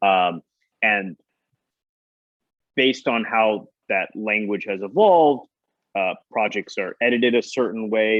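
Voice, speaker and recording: A man talks with a fairly low pitch and ordinary pitch variation. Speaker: film producer. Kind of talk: interview conversation.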